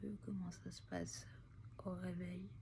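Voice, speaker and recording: With vocal fry and very wide pitch swings, the dark, mellow voice carries an audible room echo. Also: woman. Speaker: vlogger with long covid. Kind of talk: personal video diary. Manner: halting, many hesitations.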